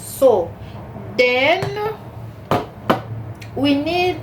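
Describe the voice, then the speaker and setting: In a room with audible echo, a woman speaks with a Cameroonian accent. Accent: Cameroonian francophone accent in English. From Cameroon, French-speaking part. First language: French. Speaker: cooking channel host. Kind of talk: cooking tutorial. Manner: halting, many fillers.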